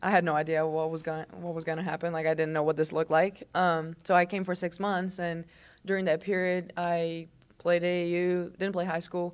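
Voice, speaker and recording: In a very clean recording with a silent background, a woman with a Portuguese accent speaks at a moderate pace in a monotone, flat intonation. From southern Brazil, Londrina. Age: 20s. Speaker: college basketball player. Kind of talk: casual interview chat.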